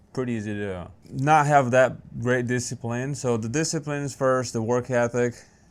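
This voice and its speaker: A man speaks with a Brazilian Portuguese accent. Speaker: small business owner. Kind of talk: interview.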